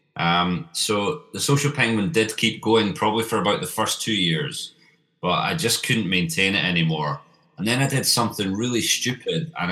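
With a Scottish accent, a man talks at a moderate pace in a fairly low pitch, his bright, sharp tone swinging very widely in pitch. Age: 30s. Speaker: marketing agency founder. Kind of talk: interview.

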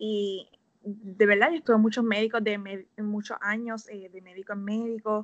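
At a moderate pace, a woman with an unremarkable speaking voice talks at a fairly high pitch with fairly even intonation. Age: 20s. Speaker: health coach. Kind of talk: casual interview.

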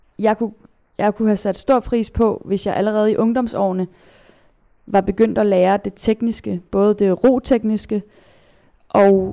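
A woman speaks at a medium pitch in a dark, mellow tone. Her intonation is monotone and flat, at a moderate pace. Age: 20s. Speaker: kayak polo player and national team captain. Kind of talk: interview. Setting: studio. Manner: halting, many repetitions and fillers.

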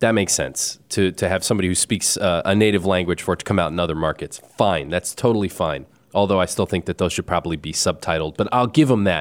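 Ordinary pitch variation marks this very fast delivery. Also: man, very deep, low pitch for a man. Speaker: film podcast host. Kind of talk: casual chat. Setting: studio.

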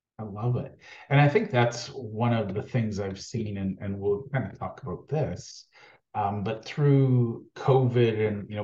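A somewhat breathy man's voice, medium in pitch, with a dark, mellow tone. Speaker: podcast host. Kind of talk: interview, casual chat.

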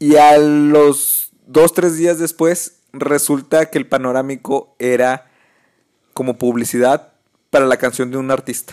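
A man with a Mexican accent, a fairly high pitch, fairly even intonation and a very slow pace. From Mexico. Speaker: podcast host. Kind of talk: casual chat.

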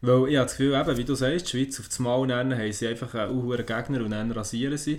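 A man speaks in a Swiss accent at a fairly quick pace. His intonation stays fairly even. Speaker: podcast co-host. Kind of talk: casual chat.

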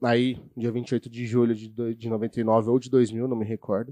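A man speaks very slowly at medium pitch in a dark, mellow tone with monotone, flat intonation. The sound is dry and close with no echo, against a quiet background. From Brazil, São Bernardo do Campo, São Paulo. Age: 30s. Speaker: youtuber. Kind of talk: casual chat.

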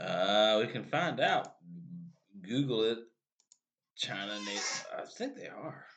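A man in a Louisiana accent speaks at a very slow pace with big swings in loudness and long, frequent pauses. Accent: US Southern (Louisiana). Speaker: podcast co-host. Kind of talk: casual chat. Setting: small room studio.

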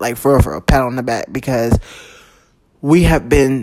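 An animated tone with music in the background. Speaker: podcast host. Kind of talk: casual monologue.

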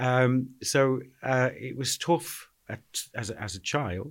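Someone with a Liverpool accent is heard on a very clean recording with a silent background. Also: man. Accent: Scouse. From Liverpool (Anfield). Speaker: charity chief executive. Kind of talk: interview.

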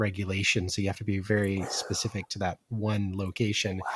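Fairly low, somewhat breathy voice of a man. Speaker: podcast host. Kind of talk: casual interview.

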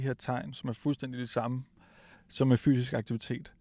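Fairly slow, fairly evenly intoned speech from a man. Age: 40s. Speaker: physiotherapist. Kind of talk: interview. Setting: recorded at a high school.

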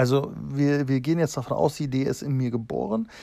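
A man talks at a fairly slow pace in a medium pitch. His tone is dark and mellow, with ordinary pitch variation. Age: 30s. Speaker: tattoo artist and podcaster. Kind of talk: casual monologue. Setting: outdoors in a garden. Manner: halting, many fillers.

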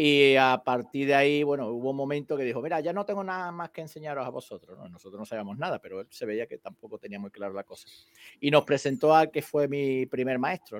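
A man at a very fast pace with lively intonation, big swings in loudness, and a dry, close sound with no echo. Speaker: karate teacher, co-host. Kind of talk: casual chat.

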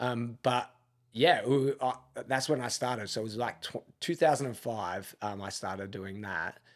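This man has an Australian accent and a medium pitch, with ordinary pitch variation. He talks at a moderate pace on a very clean recording with a silent background. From Australia, Melbourne. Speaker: gym owner and army veteran. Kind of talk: casual interview.

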